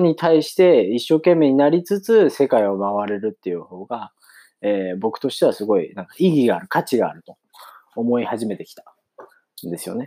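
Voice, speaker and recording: At a moderate pace, a man speaks in a dark, mellow tone with very wide pitch swings on a very clean recording with a silent background. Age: 30s. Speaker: podcaster. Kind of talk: casual monologue.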